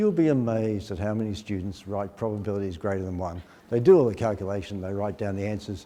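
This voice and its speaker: Very fast, with fairly even intonation, a man speaks in a dark, mellow tone at a fairly low pitch. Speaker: maths educator presenting a workshop. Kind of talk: teacher workshop presentation. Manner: fast, rushed.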